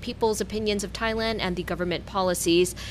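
Speaking with an American accent, a woman goes at a fairly quick pace in a medium-pitched voice with fairly even intonation. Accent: more American-sounding. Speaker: radio co-host.

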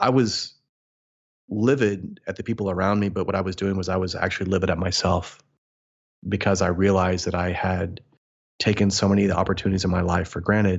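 A man with a Midwestern American accent speaks in a very deep, low voice, talking very fast in a flat monotone broken by long, frequent pauses. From US Midwest. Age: 40s. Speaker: motivational speaker and mindset coach. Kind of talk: interview conversation.

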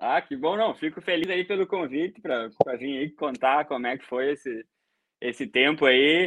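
A fairly slow pace with ordinary pitch variation. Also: man. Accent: southern Brazilian. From Brazil, Rio Grande do Sul. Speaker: BIM coordinator, civil engineer. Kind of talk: casual interview on a livestream.

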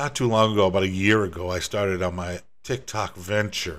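Speaking at a moderate pace with an American accent, a man uses a fairly low pitch and ordinary pitch variation. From US Northeast (Rhode Island/Massachusetts). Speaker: podcast host, home bartender, former DJ. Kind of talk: casual solo monologue.

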